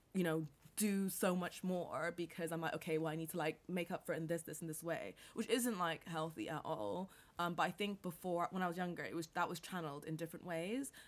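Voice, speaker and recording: With an American accent, a woman talks fairly quickly in an animated tone at a fairly low pitch. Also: ordinary pitch variation. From international upbringing: New York, Caribbean, Bangkok, then England. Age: 20s. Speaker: entrepreneur. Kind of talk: casual interview chat. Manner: animated, many fillers and laughs.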